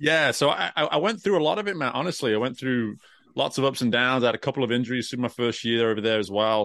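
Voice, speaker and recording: This man speaks very fast in an American accent, his medium-pitched voice lively in intonation and very even in loudness. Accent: British with some American twang. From England. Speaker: career coach and former swimming coach. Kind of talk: interview conversation. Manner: animated.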